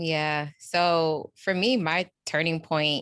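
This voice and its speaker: A woman speaks with a New York accent in a very deep, low pitch. The background is quiet, and the sound is dry and close with no echo. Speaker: executive coach. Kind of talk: casual interview.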